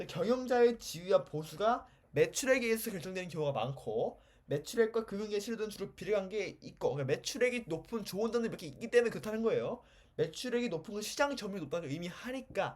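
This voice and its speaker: His intonation is lively and his pitch is high for a man. The man talks at a very fast pace. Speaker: economics lecturer. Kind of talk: lecture.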